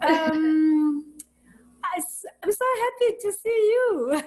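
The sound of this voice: High pitch from a woman at a slow pace, lively intonation and a slightly mellow tone.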